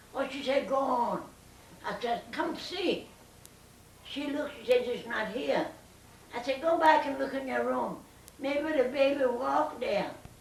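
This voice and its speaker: Audible room echo and noticeable background noise surround a woman who speaks at a high pitch and a fairly slow pace with lively intonation. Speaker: family elder telling stories. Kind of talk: oral history interview.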